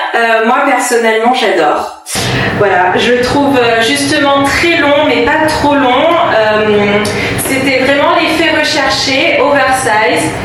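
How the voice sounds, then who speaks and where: Over noticeable background noise and audible room echo, a woman with a high pitch and lively intonation speaks at a very slow pace. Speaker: fashion vlogger. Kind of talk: casual vlog. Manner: hesitant, many fillers; soft-spoken.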